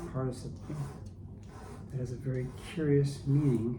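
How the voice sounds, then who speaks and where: This man is soft-spoken, with a gentle tone and a fairly slow pace. Noticeable background noise runs behind him. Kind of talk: ASMR soft-spoken commentary. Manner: soft-spoken, gentle.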